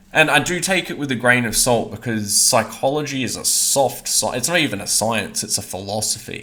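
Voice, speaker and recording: Speaking at a fairly quick pace with hardly any pauses, a man talks at a medium pitch against noticeable background noise. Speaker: online commentator. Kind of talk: monologue. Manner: monotone.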